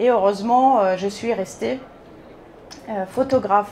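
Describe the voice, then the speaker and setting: Noticeable background noise sits under a woman's voice. She keeps a moderate pace and fairly even intonation. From Bulgaria. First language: Bulgarian (speaking French). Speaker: photographer. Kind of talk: conference talk. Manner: hesitant, many fillers.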